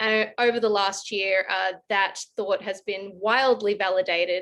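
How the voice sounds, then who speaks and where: Over a quiet background, a woman with an Australian accent talks fairly slowly at a medium pitch, her intonation monotone and flat. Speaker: advisory firm director, panelist. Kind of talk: online panel discussion.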